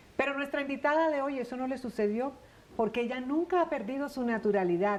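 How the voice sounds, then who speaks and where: Moderate pace and ordinary pitch variation from a woman with a high-pitched voice. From Colombian Caribbean coast. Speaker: TV interviewer. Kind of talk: scripted introduction.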